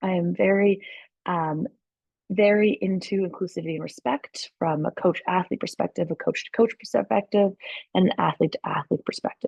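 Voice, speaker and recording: A woman with a Canadian accent speaks at a medium pitch with vocal fry and lively intonation, in a dry, close sound with no echo. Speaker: track and field coach. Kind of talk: presentation. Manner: fast.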